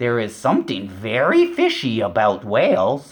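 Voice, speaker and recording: Someone performs a put-on character voice at a low-to-middle pitch and a fairly slow pace. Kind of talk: bedtime story. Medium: read story. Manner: garbled grammar, emphatic.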